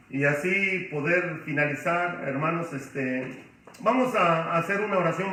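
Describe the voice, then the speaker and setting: A man speaks at a high pitch. Audible room echo and noticeable background noise fill the recording. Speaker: pastor. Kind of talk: bible study lecture. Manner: loud, emotional.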